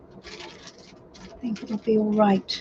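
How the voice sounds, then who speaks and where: A woman with a fairly high pitch talks very slowly while noticeable noise sits behind her. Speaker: tarot reader. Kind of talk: live stream reading. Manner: casual, chatty.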